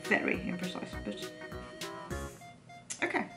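A woman talks while clear music plays behind her. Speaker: sewing vlogger. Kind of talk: casual vlog chat. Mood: light-hearted, laughing. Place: home room. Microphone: camera far.

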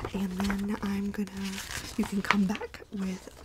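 Soft-spoken and with a gentle tone, a woman talks over noticeable background noise. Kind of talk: role-play sales consultation. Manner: soft, gentle ASMR speaking voice.

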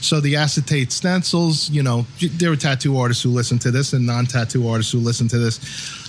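A man with an American accent at medium pitch, fairly quick pace and ordinary pitch variation, with noticeable background noise. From Long Island, New York. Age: 40s. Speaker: podcast host, tattoo artist. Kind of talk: casual interview.

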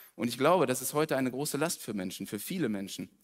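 Animated man's voice at a fairly quick pace against a quiet background. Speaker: preacher. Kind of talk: sermon. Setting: church. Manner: casual. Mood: personal, candid. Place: church.

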